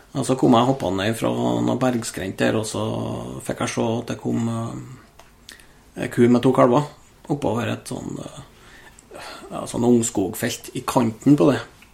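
A man talks very slowly while noticeable background noise plays underneath. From Norway, Trøndelag (Steinkjer area). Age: 30s. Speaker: hunter and ballistics enthusiast. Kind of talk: casual chat.

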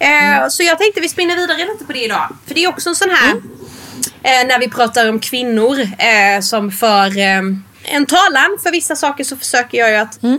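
Over noticeable background noise, a woman with a high pitch projects her raised voice at a moderate pace, her pitch swinging very widely. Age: 30s. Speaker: podcast co-host. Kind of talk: casual chat; reading aloud.

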